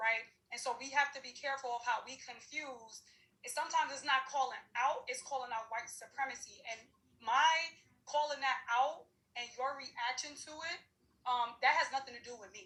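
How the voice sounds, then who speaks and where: Her voice is raised and projected, high-pitched and bright with a sharp tone, and this woman's loudness swings widely. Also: ordinary pitch variation, moderate pace. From New York City, Harlem. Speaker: diversity and inclusion practitioner. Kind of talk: panel discussion. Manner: animated.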